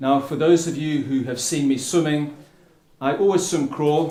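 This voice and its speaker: A man with a South African accent and a fairly high pitch speaks at a moderate pace. Room echo is audible. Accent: South African tinge. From England (Plymouth) and Africa. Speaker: endurance swimmer and ocean advocate. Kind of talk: public speech. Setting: stage with audience under a tent.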